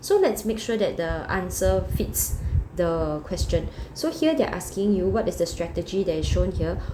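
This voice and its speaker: Noticeable background noise runs through the clip. Audible room echo surrounds the voice as well. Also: woman. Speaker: secondary school geography teacher. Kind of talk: recorded lesson walkthrough. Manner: fast.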